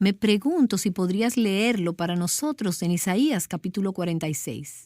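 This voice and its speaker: The intonation is lively and the pace fairly slow. The tone is dark and mellow. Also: woman, medium pitch for a woman, very clean recording, silent background. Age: young. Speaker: radio host. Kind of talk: interview.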